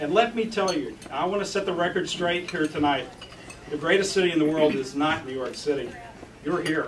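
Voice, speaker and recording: A man with an American accent speaks at a high pitch with ordinary pitch variation. Noticeable background noise and audible room echo are present. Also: fairly quick pace. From US, West Texas. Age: 50s. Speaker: political candidate. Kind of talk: campaign speech. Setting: forum with live audience.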